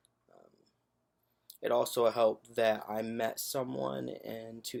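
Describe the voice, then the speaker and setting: A man speaks at a very slow pace. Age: 30s. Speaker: transgender man sharing his story. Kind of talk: personal testimony. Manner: hesitant, many fillers.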